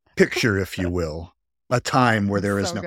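In a put-on character voice with a fairly low pitch, a man speaks at a moderate pace on a very clean recording with a silent background. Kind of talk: dramatic narration.

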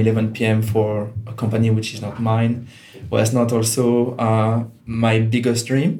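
A man talks with a Swiss French accent. His pace is fairly slow. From Switzerland, Geneva. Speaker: digital consultant. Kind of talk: interview. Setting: co-working space.

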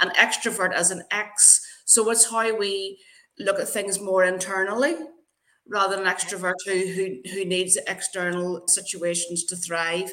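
Bright, sharp female speech with an Irish accent, fairly slow and fairly even in intonation. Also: medium pitch for a woman. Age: 50s. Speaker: LinkedIn brand builder. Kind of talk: casual interview.

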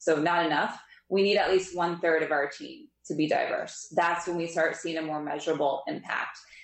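A woman with an American accent, fairly low in pitch, at a moderate pace with fairly even intonation and audible room echo. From Pennsylvania, near Philadelphia. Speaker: investment specialist. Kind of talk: interview.

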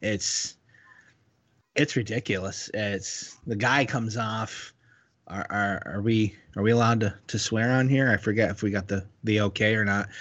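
At a moderate pace, a man speaks with a plain, everyday voice. His pitch is fairly low and his intonation fairly even. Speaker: podcast co-host, school teacher. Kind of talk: casual comedic banter podcast.

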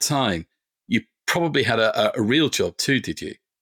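A man with an English accent and a bright, sharp tone at a moderate pace, in a very clean recording with a silent background and a dry, close sound with no echo. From English Midlands. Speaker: podcast host. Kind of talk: interview.

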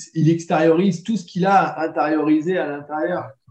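A man speaks at a very slow pace. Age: 30s. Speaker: dog trainer. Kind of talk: casual chat.

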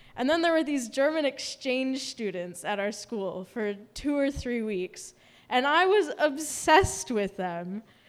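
Through noticeable background noise, a woman with an American accent talks at a fairly slow pace in a high pitch with very wide pitch swings. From US Midwest, Milwaukee, Wisconsin. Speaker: storyteller. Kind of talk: live storytelling performance.

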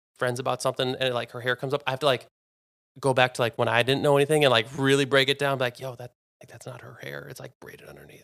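A man with an American accent, medium pitch and vocal fry, very fast and monotone with flat intonation, in a dry, close sound with no echo. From US Midwest, suburban Minnesota. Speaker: podcast guest. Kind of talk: casual chat.

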